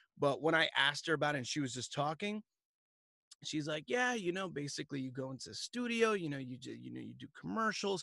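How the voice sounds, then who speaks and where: Speaking very fast with an American accent, a man with a fairly high, bright and sharp voice makes very wide pitch swings and big swings in loudness over a quiet background. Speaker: voice actor. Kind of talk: interview answer. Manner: casual.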